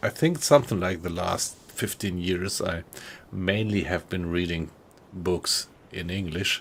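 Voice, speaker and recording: A man with a German accent, very deep and low in pitch, at a fairly slow pace with fairly even intonation. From Germany, Frankfurt area. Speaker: gaming streamer. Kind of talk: casual chat. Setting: live stream. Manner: halting.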